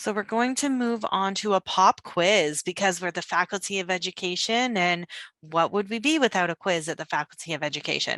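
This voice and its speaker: The tone is bright and sharp. The sound is dry and close with no echo, and the pace is fairly quick. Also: woman, medium pitch for a woman, ordinary pitch variation, hardly any pauses. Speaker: graduate program recruiter. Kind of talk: webinar presentation.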